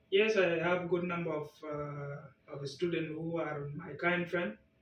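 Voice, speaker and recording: Over noticeable background noise, a man speaks at a very slow pace in a monotone, flat delivery. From South Sudan. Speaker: language test candidate. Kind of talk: speaking exam interview. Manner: halting.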